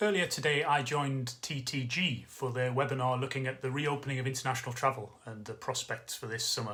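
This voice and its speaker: With a Geordie accent, a man talks at a fairly quick pace. His medium-pitched voice holds a fairly even intonation. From northeast England (Newcastle area). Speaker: travel industry consultant. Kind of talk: direct-to-camera business update. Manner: casual, conversational with filler words.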